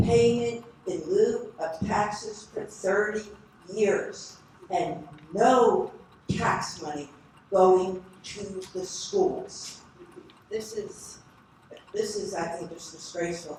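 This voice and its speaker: A woman talks at a very slow pace with long, frequent pauses, medium pitch and ordinary pitch variation, her loudness swinging widely. Noticeable background noise and audible room echo fill the recording. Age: 70s. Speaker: public commenter. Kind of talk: public comment at planning board meeting. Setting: township planning board meeting.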